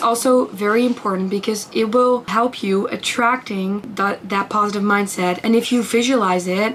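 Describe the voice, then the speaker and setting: A woman talks at a medium pitch and moderate pace with a non-native accent. Her intonation is fairly even, and there is noticeable background noise. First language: not English. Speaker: lifestyle vlogger. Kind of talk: casual talk to camera. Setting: bedroom. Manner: hesitant, with fillers.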